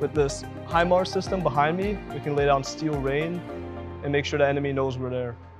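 A man with an American accent talks at a fairly quick pace in a fairly high pitch, with ordinary pitch variation and clear music in the background. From Brooklyn, New York. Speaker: army soldier in training. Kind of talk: interview answer. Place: garage.

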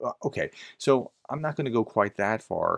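The background is quiet while a man talks. His pitch varies in an ordinary way. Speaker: commentator. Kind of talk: commentary. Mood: calm, reflective. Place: home room.

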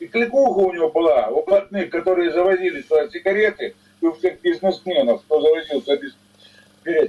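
A man speaks at a fairly quick pace in a high voice. His tone is dark and mellow. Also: lively intonation. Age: 70s. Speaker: retired executive, former miner; caller. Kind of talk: heated debate. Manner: animated. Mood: scornful, critical. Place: home room. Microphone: video call.

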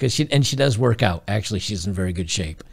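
Lively intonation from a somewhat breathy man at a fairly quick pace, against a quiet background. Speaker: streamer commentator. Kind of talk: reaction commentary. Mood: gleeful, mocking. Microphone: studio mic.

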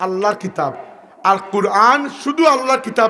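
A man uses a raised, projected voice with ordinary pitch variation over noticeable background noise. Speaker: Islamic preacher. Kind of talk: sermon. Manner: loud.

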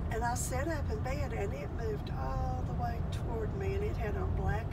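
Loud background noise surrounds a woman talking at a moderate pace. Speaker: storyteller. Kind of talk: personal ghost story told in conversation. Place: car. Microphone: phone near.

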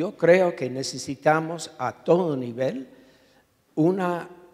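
A man's very slow delivery with an English accent and ordinary pitch variation. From US, New York. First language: English (speaking Spanish). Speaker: urban planning professor, activist; urban planning professor. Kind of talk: panel discussion. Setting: auditorium with audience. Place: hall. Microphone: handheld.

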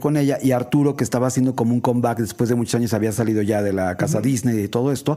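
A man at medium pitch with a dark, mellow tone, a very fast pace and ordinary pitch variation. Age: 60s. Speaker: radio host and art director. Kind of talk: casual chat.

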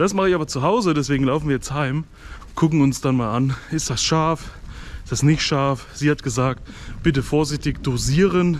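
This man talks at a moderate pace with ordinary pitch variation. Light background noise can be heard. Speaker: food vlogger. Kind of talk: casual vlog chat. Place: street. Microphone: phone near.

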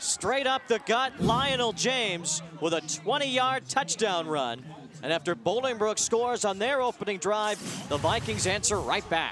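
Over noticeable background noise, a high-pitched man talks at a fairly slow pace with very wide pitch swings yet very even loudness. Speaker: play-by-play sports announcer. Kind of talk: live high school football play-by-play commentary. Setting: stadium broadcast booth.

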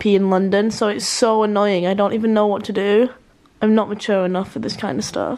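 A woman talks at a very fast pace. Her voice is hoarse. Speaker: vlogger. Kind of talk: casual vlog chat. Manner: hoarse voice, sore swollen throat.

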